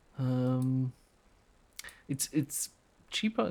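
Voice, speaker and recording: Very slow and quiet, a man speaks with a German accent. His tone is dark and mellow. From Germany. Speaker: youtuber demonstrating audio software. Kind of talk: casual tutorial. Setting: home recording at night. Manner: hushed, quiet speaking; rambling with fillers.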